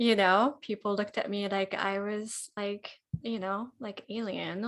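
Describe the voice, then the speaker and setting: Speaking at a fairly slow pace in a Japanese accent, a woman keeps her intonation fairly even. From Japan (Kyoto), moved to Tennessee at twelve. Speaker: pianist. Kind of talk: casual interview chat.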